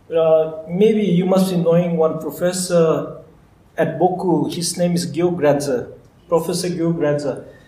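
Through audible room echo, a man with a high pitch and a dark, mellow tone speaks at a fairly slow pace in a monotone, flat intonation. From Bhutan. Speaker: agricultural researcher. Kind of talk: live talk interview. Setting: live event with audience.

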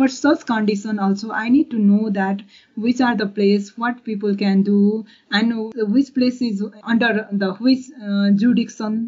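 At a fairly slow pace, a woman speaks at a fairly high pitch with fairly even intonation. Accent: Nepali. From rural Nepal. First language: Nepali. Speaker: forestry researcher. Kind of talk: interview. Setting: video call. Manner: halting.

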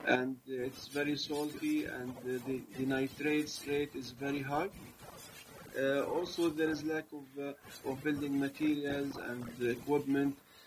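Noticeable background noise behind a man at fairly high pitch, very slow pace and monotone, flat intonation. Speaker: engineering researcher. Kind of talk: interview.

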